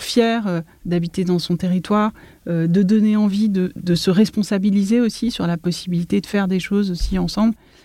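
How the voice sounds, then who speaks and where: A somewhat breathy woman's voice of medium pitch, dark, mellow tone, fairly even intonation and moderate pace, on a very clean recording with a silent background. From Paris region, France. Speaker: architect. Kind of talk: interview.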